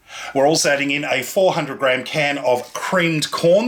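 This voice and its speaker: Noticeable background noise sits behind the speech. It comes at a moderate pace with an Australian accent. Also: man. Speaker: cooking show host. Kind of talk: cooking tutorial. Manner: animated.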